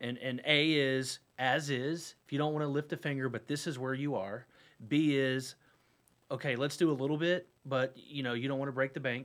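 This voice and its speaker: Heard in a very clean recording with a silent background, a man with an American accent and an unremarkable speaking voice talks at a moderate pace, his fairly high pitch following fairly even intonation. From North Carolina, Huntersville. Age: 40s. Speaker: real estate broker. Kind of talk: casual radio interview. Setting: radio studio.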